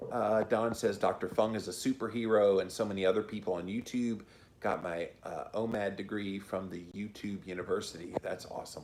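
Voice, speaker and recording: A fairly low-pitched man with an American accent, fairly even intonation and a fairly quick pace. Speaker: podcaster and YouTuber. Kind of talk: live-stream chat reading viewer comments. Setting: live stream.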